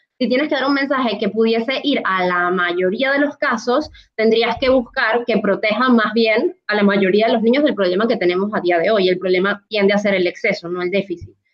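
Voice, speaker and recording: A woman speaks in a plain, everyday voice, fairly high in pitch with ordinary pitch variation. She moves at a fairly quick pace with hardly any pauses. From Latin America. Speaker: pediatric dietitian. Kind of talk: panel discussion.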